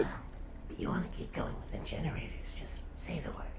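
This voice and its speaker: Whispering in a put-on character voice at a fairly quick pace, someone speaks over loud background noise. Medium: game stream. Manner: quiet, earnest.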